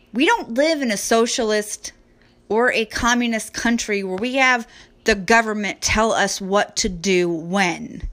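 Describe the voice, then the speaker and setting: A woman with an American accent speaks fairly slowly in a plain, everyday voice at a fairly high pitch with ordinary variation. The recording is very clean, with a silent background. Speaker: podcast host. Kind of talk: angry political rant, solo monologue. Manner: indignant, sarcastic, scornful, blunt; loud, hard-hitting, lecturing the audience.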